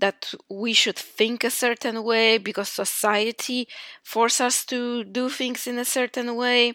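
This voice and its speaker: A woman with a Polish accent speaks at a fairly slow pace with monotone, flat intonation. The recording is very clean with a silent background, and the sound is dry and close with no echo. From Poland. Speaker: podcast host. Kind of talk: motivational monologue.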